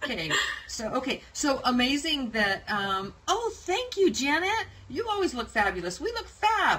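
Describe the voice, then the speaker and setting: Over noticeable background noise, a woman with an American accent speaks in a raised, projected voice at a moderate pace, her pitch swinging very widely. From United States. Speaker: online show host. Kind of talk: casual interview. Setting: live video stream.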